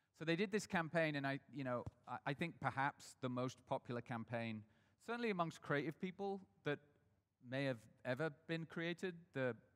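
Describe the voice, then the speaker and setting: A man's fairly high voice with an American accent and lively intonation, at a moderate pace, in a dry, close sound with no echo. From northern England, Sheffield. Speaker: brand strategist and agency founder. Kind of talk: talk to a live audience. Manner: hesitant, many fillers and restarts.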